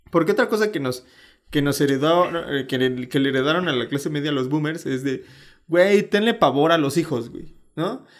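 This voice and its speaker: A man's fairly high voice, with lively intonation at a moderate pace, comes across on a very clean recording with a silent background. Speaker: podcast co-host. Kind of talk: casual chat.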